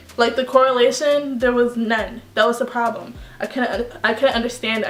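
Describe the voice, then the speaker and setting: Over noticeable background noise, a woman speaks at a moderate pace. Her fairly high voice stays monotone and flat. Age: young. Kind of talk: casual talk to camera. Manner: playful, sassy.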